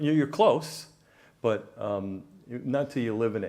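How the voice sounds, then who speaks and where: A man with an American accent speaks in a fairly high voice with a dark, mellow tone. His pitch swings very widely, and the room echo is audible. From New York, the Bronx. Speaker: business consultant. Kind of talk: interview. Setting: stage with audience. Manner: halting, many fillers.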